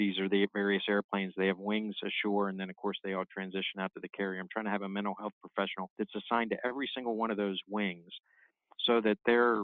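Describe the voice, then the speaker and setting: Very fast and in a monotone, flat intonation, a man with an American accent speaks at a fairly low pitch. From Maryland/southern Pennsylvania, US. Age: 60s. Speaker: naval officer. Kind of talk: interview.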